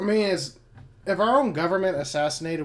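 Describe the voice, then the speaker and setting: Against noticeable background noise, a man talks at a very fast pace with lively intonation. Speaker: podcast co-host. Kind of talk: casual political chat. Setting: live stream.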